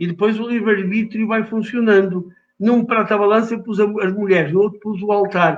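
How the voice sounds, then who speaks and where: Fairly even in intonation, a man speaks at a fairly quick pace in a high voice. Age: 70s. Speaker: writer. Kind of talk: interview.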